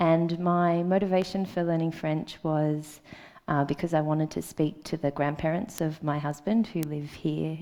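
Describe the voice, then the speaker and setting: With an Australian accent, a woman speaks at a fairly slow pace and a fairly low pitch, her intonation fairly even. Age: 30s. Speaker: conference speaker. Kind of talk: conference talk. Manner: hesitant, many ums.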